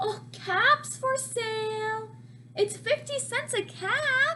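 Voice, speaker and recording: In a squeaky, put-on character voice, a woman speaks very slowly over clear background noise. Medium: read story. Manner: slow, calling out wares.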